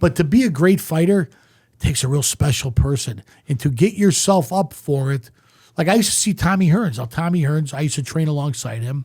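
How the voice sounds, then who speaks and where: A man speaks fairly quickly in a fairly high, somewhat breathy voice. His tone is dark and mellow, and his intonation is lively. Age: 60s. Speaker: former boxer and promoter. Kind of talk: casual chat.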